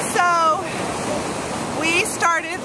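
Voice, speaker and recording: A loud woman's voice amid noticeable background noise. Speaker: writing teacher. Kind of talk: tutorial. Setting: outdoors by the ocean.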